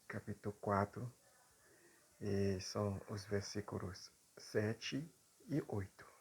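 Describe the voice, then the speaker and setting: A man talks very slowly with long, frequent pauses, his fairly low voice somewhat breathy and his intonation fairly even. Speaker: preacher. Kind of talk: sermon. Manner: halting, with frequent fillers.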